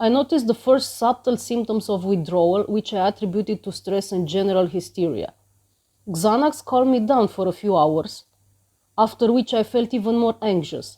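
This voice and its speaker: Over a very clean recording with a silent background, a woman speaks at a fairly high pitch in a dark, mellow tone. Her pace is moderate and her pitch varies in an ordinary way. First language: Romanian. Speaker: vlogger sharing personal experience. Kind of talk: personal testimony.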